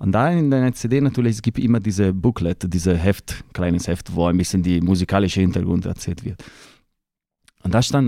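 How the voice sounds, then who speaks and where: On a very clean recording with a silent background, a man speaks in a fairly low pitch with a dark, mellow tone and ordinary pitch variation. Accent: Italian. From northern Italy, Lake Como. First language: Italian (speaking German). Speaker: opera répétiteur and pianist. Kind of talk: casual interview. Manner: halting, searching for words.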